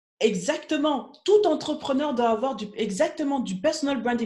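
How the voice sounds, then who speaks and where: The speaker is a woman. She sounds animated. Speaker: business coach. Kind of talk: live stream Q&A coaching. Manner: fast.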